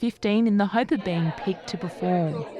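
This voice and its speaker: Over crowd noise in the background, a woman speaks at a moderate pace. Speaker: news reporter. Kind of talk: news report narration.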